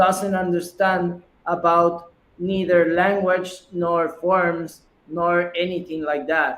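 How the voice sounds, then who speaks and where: A man's voice at a high pitch. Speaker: startup founder. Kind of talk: pitch Q&A. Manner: halting, many repetitions.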